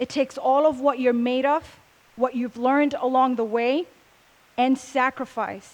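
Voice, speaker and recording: With a high pitch and fairly even intonation, a woman speaks at a fairly slow pace. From Puerto Rico, west side. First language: Spanish. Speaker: speaker at a convention. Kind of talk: motivational talk.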